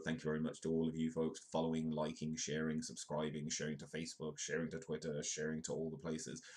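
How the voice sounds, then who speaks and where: With a British accent, a man speaks fairly quickly in a very deep, low pitch and a monotone, flat intonation. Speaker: live news comedy show host. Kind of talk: live-stream comedic news commentary. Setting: live stream.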